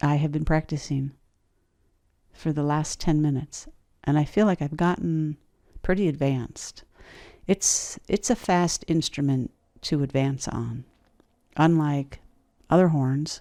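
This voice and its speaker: On a very clean recording with a silent background, a woman speaks at a fairly slow pace with long, frequent pauses, her very deep, low pitch carrying a dark, mellow tone and ordinary pitch variation. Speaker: podcasting tutorial creator. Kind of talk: tutorial. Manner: sing-song.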